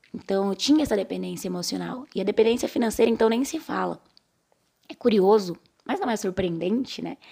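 In an unremarkable speaking voice, a woman speaks at a medium pitch and a fairly quick pace, with ordinary pitch variation. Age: 30s. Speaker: podcast host. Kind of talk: casual voice-message book discussion.

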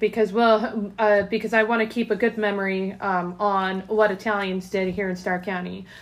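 In an American accent, a woman talks at a moderate pace with medium pitch and an ordinary speaking voice. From Ohio, Canton. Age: 30s. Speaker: podcast host. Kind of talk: casual interview chat.

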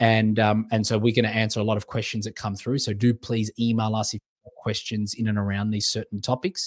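Recorded very cleanly with a silent background and a dry, close sound with no echo, a man speaks at a fairly low pitch with big swings in loudness. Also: fairly quick pace. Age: 30s. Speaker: podcast host and life coach. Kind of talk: solo podcast monologue. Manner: animated.

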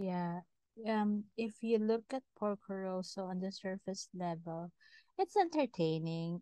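Her sound dry and close with no echo, a woman with a Filipino accent speaks at a medium pitch in a dark, mellow tone. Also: ordinary pitch variation, fairly slow pace. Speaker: podcast co-host. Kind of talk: casual chat. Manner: animated.

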